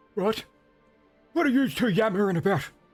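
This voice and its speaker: A man's put-on character voice, high, shaky and creaky, with lively intonation at a fairly quick pace over faint music in the background. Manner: grumpy, irritated.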